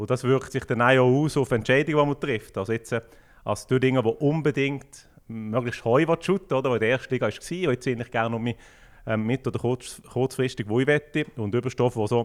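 A plain, everyday voice at a fairly quick pace, with fairly even intonation, on a very clean recording with a silent background. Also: man. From Switzerland, Fribourg canton (Düdingen). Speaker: football club sporting director. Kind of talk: casual interview.

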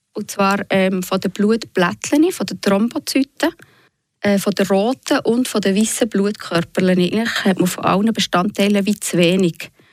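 A woman speaks at a fairly slow pace in a medium pitch with ordinary pitch variation. A plain, everyday voice, the sound dry and close with no echo, on a very clean recording with a silent background. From Switzerland, Fribourg region (Bösingen). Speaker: patient and author. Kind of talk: radio interview. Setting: studio.

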